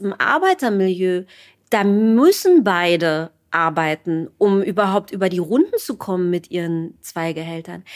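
A woman in an ordinary speaking voice talks at a fairly slow pace with lively intonation, on a very clean recording with a silent background. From East Germany. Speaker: writer and journalist. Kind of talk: interview.

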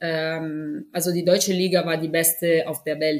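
With an Italian accent, a woman speaks at a fairly low pitch with ordinary pitch variation. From Italy. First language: Italian (speaking German). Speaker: professional football goalkeeper. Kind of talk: interview. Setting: video call. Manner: halting.

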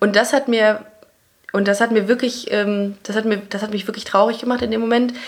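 A woman's fairly high voice stays monotone and flat at a moderate pace. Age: 30s. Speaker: comedy writer and podcaster. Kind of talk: casual interview chat. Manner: sometimes stumbling over words.

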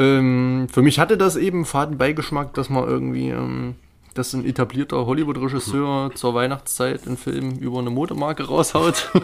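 A man talks at a medium pitch and moderate pace. His pitch varies in an ordinary way. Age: 20s. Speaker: film podcast co-host. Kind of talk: casual chat; film analysis discussion. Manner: hesitant, many fillers.

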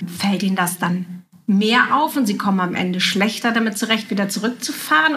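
A woman speaks at a fairly quick pace with a medium pitch and ordinary pitch variation, over noticeable background noise. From Juist, northern Germany. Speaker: writer and podcast host. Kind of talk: casual interview. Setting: at a coffee table in a home.

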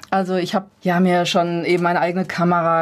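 A woman with a fairly low pitch, at a moderate pace. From Ruhr area, Gelsenkirchen. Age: 50s. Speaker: personal development coach. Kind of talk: radio interview.

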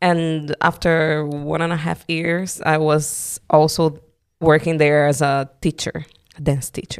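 In a very clean recording with a silent background, a woman with a Brazilian accent speaks at a very slow pace, her very deep, low pitch held in a monotone, flat intonation. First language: Portuguese. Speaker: dancer. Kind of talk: interview conversation.

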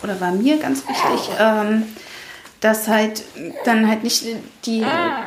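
Through audible room echo and noticeable background noise, a woman speaks at a fairly high pitch and a very slow pace, with long, frequent pauses. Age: 30s. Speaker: mother sharing miscarriage experience, former dental worker. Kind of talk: interview, personal testimony.

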